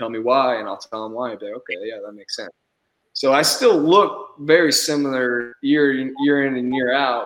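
With an American accent, a man speaks at medium pitch in an ordinary speaking voice. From Houston, Texas. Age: 20s. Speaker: professional baseball player. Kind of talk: interview.

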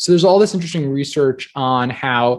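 The speaker has a normal speaking voice with lively intonation. The pace is fairly quick. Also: man. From US Northeast (New Jersey). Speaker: entrepreneur and author. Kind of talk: interview conversation. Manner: casual, filler-heavy.

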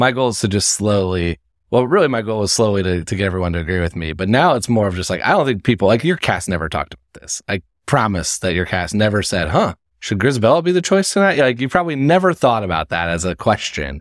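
A man speaks at a very fast pace in a fairly low voice with very wide pitch swings. The sound is dry and close, with no echo. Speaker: podcast host. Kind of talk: casual interview chat.

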